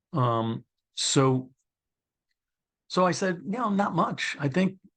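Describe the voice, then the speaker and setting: Someone speaks with a Brooklyn accent against a quiet background. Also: man. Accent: New York (Brooklyn). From New York City (Brooklyn). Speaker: former probation commissioner, author. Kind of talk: interview conversation. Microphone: connection difficulty at start.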